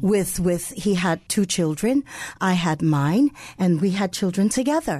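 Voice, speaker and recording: A fairly slow, somewhat breathy voice with a dark, mellow tone, lively intonation and very even loudness, in an American accent over a quiet background. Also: woman, medium pitch for a woman. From New York City, the Bronx. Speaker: co-pastor. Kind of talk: radio interview.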